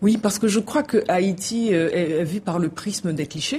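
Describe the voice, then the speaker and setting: A woman talks at a moderate pace in an unremarkable speaking voice. Her pitch variation is ordinary. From Haiti. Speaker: novelist. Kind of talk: interview.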